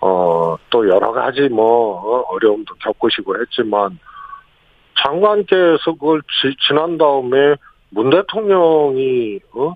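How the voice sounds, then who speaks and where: A man speaks at a very slow pace with medium pitch and very wide pitch swings. His loudness stays very even throughout. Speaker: former senior presidential aide. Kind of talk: radio interview. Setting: phone call. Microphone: phone line.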